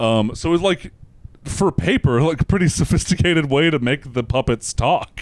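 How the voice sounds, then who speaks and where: A man speaks at a moderate pace in a fairly high voice with lively intonation and very even loudness, the sound dry and close with no echo. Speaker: comedian. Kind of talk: casual chat. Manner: halting, many fillers.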